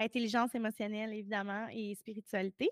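A woman speaks in a Quebec accent. The sound is dry and close, with no echo. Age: 30s. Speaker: emotional decoding coach. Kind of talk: casual interview.

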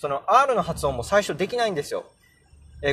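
A man speaks in a high voice. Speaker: podcaster teaching English pronunciation. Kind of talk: casual solo podcast talk. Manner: hesitant with many fillers.

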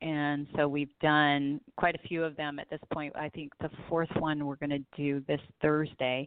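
With an American accent, a woman speaks at a very deep, low pitch. Her pace is fairly slow, with hardly any pauses and monotone, flat intonation. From Southern California. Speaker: singer and author. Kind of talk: interview.

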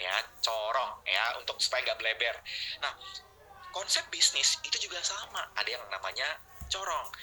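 With noticeable background noise, a man speaks at a fairly quick pace. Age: 30s. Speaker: online marketing trainer. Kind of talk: webinar lecture. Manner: animated.

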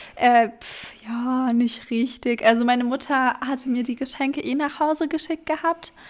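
A woman speaks at a moderate pace in a high pitch with fairly even intonation. Her loudness swings widely. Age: 20s. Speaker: podcast co-host. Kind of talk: casual chat.

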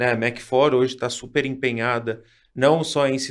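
On a very clean recording with a silent background, a man with an unremarkable speaking voice talks at a moderate pace, keeping a medium pitch and fairly even intonation. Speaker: podcast host. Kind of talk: interview. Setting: studio.

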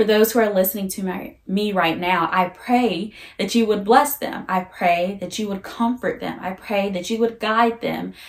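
Woman's voice, a normal speaking voice, at a medium pitch and moderate pace. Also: big swings in loudness. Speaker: faith-based podcast host. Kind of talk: casual faith conversation with prayer.

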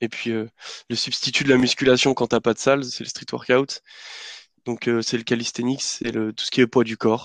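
A man talks at a fairly slow pace and medium pitch in a flat monotone. The sound is dry and close, with no echo. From France, Lyon. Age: 20s. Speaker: engineering student. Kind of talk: casual chat.

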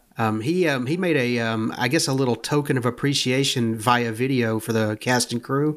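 In a very clean recording with a silent background, a man with an unremarkable speaking voice and medium pitch talks with hardly any pauses, very even loudness and ordinary pitch variation. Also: moderate pace. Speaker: podcast co-host. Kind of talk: film commentary, casual chat.

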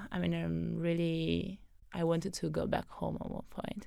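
A woman speaks with an Italian accent on a very clean recording with a silent background. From southern Italy (Naples/Benevento area). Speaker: data scientist. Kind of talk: casual interview chat. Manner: hesitant, with frequent fillers.

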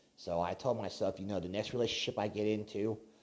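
This is a man with an unremarkable speaking voice. He talks at a fairly low pitch with fairly even intonation. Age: 30s. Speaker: podcast host. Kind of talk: casual monologue.

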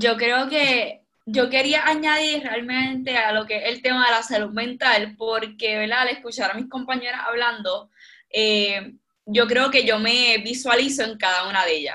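With a bright, sharp tone and high pitch, a woman speaks at a fairly slow pace with ordinary pitch variation. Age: 20s. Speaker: youth volunteer, aspiring medical professional. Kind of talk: casual chat. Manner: halting.

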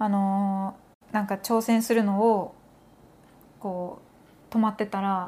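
Monotone, flat speech at a very slow pace with long, frequent pauses, in a very clean recording with a silent background. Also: woman, medium pitch for a woman. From Japan. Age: 30s. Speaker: podcast host, makeup content creator. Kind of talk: casual chat.

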